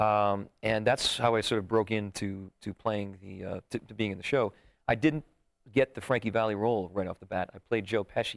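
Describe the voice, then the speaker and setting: A man with an unremarkable speaking voice and fairly low pitch talks at a moderate pace with fairly even intonation and big swings in loudness, in a very clean recording with a silent background and a dry, close sound with no echo. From New Jersey, Sussex County. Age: young. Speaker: song and dance headliner. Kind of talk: casual chat. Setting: studio.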